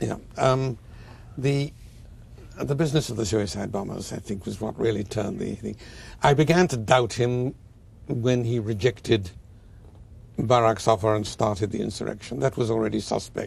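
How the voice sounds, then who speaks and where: Vocal fry runs through this man's speech, which has ordinary pitch variation. He talks at a moderate pace with long, frequent pauses. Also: medium pitch for a man. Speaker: historian. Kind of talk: interview answer.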